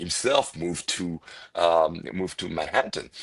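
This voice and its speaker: A man talks at a moderate pace. He has a strong French accent. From France, Paris. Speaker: restaurant owner. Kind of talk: podcast interview. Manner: hesitant, many fillers and repetitions.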